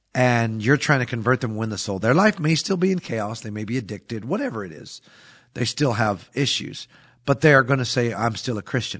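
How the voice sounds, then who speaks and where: A man with a normal speaking voice talks at a fairly quick pace and medium pitch. His intonation is lively, and his loudness swings widely. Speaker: pastor. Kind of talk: casual religious podcast discussion. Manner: conversational, uses fillers.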